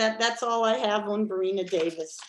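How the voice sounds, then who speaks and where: Here a woman has an ordinary speaking voice with an American accent. Her pitch is fairly high and her pace fairly slow. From Maryland, US. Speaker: presenter at a history club. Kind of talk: lecture; Q&A answers.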